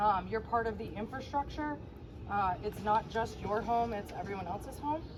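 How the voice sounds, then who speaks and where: A woman's fairly high-pitched voice at a moderate pace with ordinary pitch variation, against noticeable background noise. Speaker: HOA board member. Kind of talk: community meeting presentation. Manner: loud.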